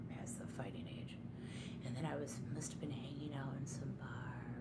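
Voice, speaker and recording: A woman whispers, soft-spoken, at a fairly slow pace. Noticeable background noise sits behind her. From Detroit, USA. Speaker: ASMR creator. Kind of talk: ASMR storytelling, personal anecdote. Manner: soft-spoken, whispery.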